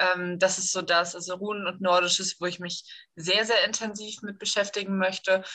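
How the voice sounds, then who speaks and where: A woman's bright, sharp tone stays monotone and flat as she speaks at a moderate pace. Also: medium pitch for a woman. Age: 20s. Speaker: online community admin. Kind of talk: casual chat.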